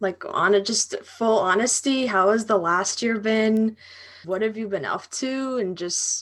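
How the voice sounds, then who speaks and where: A woman with a normal speaking voice talks at a fairly slow pace in a fairly high pitch, with ordinary pitch variation over a quiet background. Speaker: podcast host. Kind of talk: casual interview chat.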